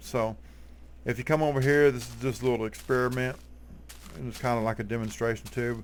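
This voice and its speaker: A man with a strong Texas accent talks at a fairly quick pace, his intonation fairly even. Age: 40s. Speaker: gaming YouTuber. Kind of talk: tutorial. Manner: casual, halting with fillers.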